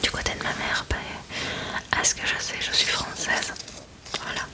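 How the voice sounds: Whispering, a woman talks at a fairly slow pace.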